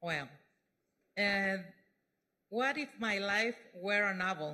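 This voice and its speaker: Speaking in a Mexican accent, a woman has a bright, sharp tone and a medium pitch. She goes at a very slow pace with lively intonation. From Mexico. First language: Spanish (speaking French). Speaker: speaker giving testimony. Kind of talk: testimony. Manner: halting.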